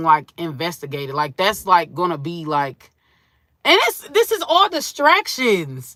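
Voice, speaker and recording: A loud voice with a bright, sharp tone at a fairly slow pace, in a very clean recording with a silent background. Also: woman. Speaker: tarot reader. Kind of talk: live tarot reading. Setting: livestream. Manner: animated.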